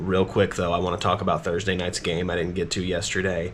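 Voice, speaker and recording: Over noticeable background noise, a man talks at a fairly quick pace in a very deep, low voice. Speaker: sports commentator. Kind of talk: casual chat.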